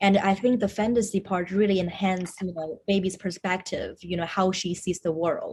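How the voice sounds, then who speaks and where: Somewhat breathy, a woman with a Chinese accent talks at a moderate pace and medium pitch, with fairly even intonation and hardly any pauses. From China, moved to Seattle as teen. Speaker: screenwriter and actor. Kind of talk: interview.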